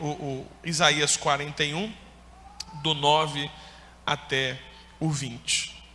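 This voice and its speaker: A man speaks at a very slow pace, with audible room echo and noticeable background noise. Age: 30s. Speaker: pastor. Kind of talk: sermon. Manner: animated.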